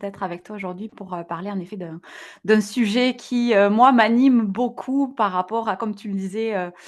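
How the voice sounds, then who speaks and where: A woman with a slight southwestern French accent and fairly high pitch, at a moderate pace over a quiet background. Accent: slight southwest French. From southwest France, near Toulouse. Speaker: digital wellbeing entrepreneur. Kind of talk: podcast interview. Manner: hesitant, many fillers.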